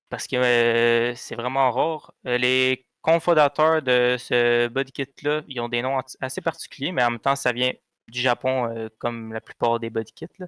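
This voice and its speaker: Speaking in a Quebec accent, a man talks at a fairly slow pace and medium pitch with fairly even intonation. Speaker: car podcast co-host. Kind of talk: casual chat.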